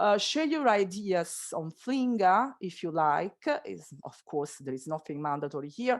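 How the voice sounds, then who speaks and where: A woman with an Italian accent speaks at a fairly slow pace and medium pitch, her voice swinging very widely in pitch and loudness, with hardly any pauses against a quiet background. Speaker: school teacher. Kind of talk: online workshop presentation. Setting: video call. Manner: hesitant, many fillers; deliberately slow.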